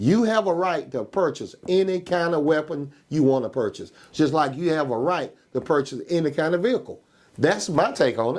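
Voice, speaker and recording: With a Georgia accent, the speaker uses lively intonation at a moderate pace on a very clean recording with a silent background. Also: man, fairly high pitch for a man. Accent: Southern US, Georgia. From US South, Georgia (Macon area). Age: 60s. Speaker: county coroner. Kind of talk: interview, casual debate. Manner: emphatic, repeats "okay?" often.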